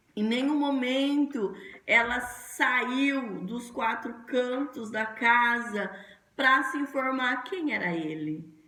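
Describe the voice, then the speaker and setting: A woman with a high pitch speaks at a very slow pace with lively intonation. Noticeable background noise can be heard. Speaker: pastor. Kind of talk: sermon.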